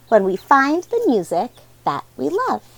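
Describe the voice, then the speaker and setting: Using a put-on character voice, a woman talks at a moderate pace in a high pitch. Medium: read story.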